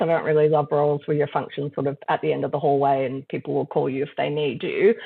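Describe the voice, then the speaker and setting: A very fast female voice with an American accent. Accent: shifts easily between Australian and American. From mixed: Brazil, Trinidad, US, Netherlands, Australia. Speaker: company director and lawyer. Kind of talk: interview conversation.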